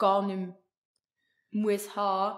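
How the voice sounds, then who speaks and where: With a Swiss accent, a woman speaks in a monotone, flat intonation at a medium pitch. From Switzerland. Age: 20s. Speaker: intern and incoming psychology student; podcast guest. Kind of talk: casual chat. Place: home room. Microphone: studio mic.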